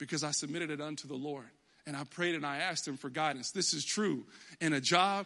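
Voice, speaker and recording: A man speaks with an American accent at a fairly quick pace. His bright, sharp tone is animated, with lively intonation. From Texas. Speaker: pastor. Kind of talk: sermon. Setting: church.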